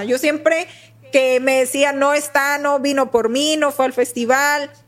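Over noticeable background noise, a woman with a high pitch talks at a fairly slow pace and keeps her loudness very even. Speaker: university professor and podcast co-host. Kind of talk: casual chat. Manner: wordy, lots of synonyms.

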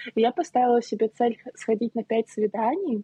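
The speaker has an unremarkable speaking voice and talks at a moderate pace. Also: woman. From Saint Petersburg, Russia. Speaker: planning coach and pastry shop owner. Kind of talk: casual podcast conversation.

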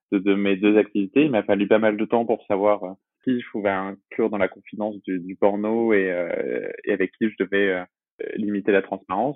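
At a fairly quick pace, a man speaks in a fairly low voice with fairly even intonation. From Brittany, France (Brest). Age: 20s. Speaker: adult film actor and publishing worker. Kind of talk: interview. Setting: remote recording. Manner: hesitant, frequent word repetitions.

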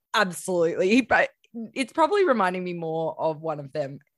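An Australian accent at a moderate pace, with lively intonation, on a very clean recording with a silent background. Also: woman. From Queensland, Australia. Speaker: podcast host. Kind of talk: casual interview.

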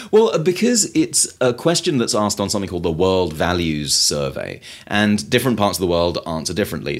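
Fairly quick speech in a British accent, on a very clean recording with a silent background. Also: man. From Britain. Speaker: author and food activist. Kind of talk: interview. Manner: halting, with frequent repetitions.

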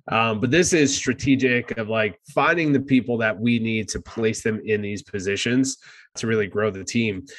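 Speaking with an American accent, a man with an unremarkable speaking voice keeps a moderate pace, a medium pitch and ordinary pitch variation. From New Jersey. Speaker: podcast host, real estate investor. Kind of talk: casual podcast chat.

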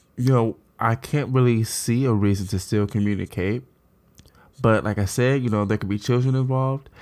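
The speaker is a man at a medium pitch. He talks at a moderate pace. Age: 30s. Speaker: podcast host. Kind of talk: casual chat. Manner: animated.

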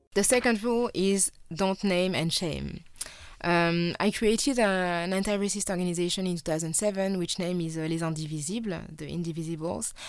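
The speaker talks at a fairly quick pace. Pitch varies in an ordinary way. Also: woman, fairly low pitch for a woman. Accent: French. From France. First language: French. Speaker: filmmaker, journalist and activist. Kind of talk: interview. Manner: hesitant, many fillers.

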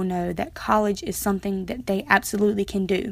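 In a very clean recording with a silent background, a woman with an American accent talks fairly quickly at a medium pitch in a monotone, flat intonation. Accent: US Southern, Lumbee. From Pembroke, North Carolina. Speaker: college student. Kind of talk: personal audio diary.

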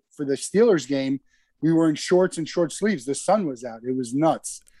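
This is a plain, everyday voice from a man with an American accent. His pitch is fairly high, with ordinary pitch variation. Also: dry, close sound with no echo. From US Northeast, New Jersey. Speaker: company founder and CEO. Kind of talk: casual interview.

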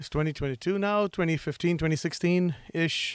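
In a very clean recording with a silent background, a man talks with an American accent. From Singapore. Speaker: cybersecurity executive. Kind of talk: interview. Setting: studio.

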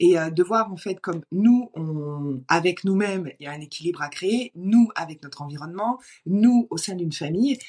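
A woman with an unremarkable speaking voice talks at a fairly low pitch and a moderate pace, against a quiet background. Her intonation is lively, with big swings in loudness. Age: 30s. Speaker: entrepreneur coach. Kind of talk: casual interview conversation.

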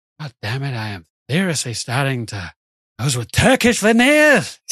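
A man performs a put-on character voice at medium pitch. He keeps a moderate pace against a quiet background. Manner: pained, indignant.

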